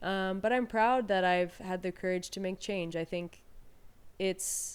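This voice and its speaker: In a very clean recording with a silent background, a woman speaks fairly slowly in an ordinary speaking voice, medium in pitch, with fairly even intonation. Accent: American. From Peru and Texas. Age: 30s. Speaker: weightlifter. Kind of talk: casual chat.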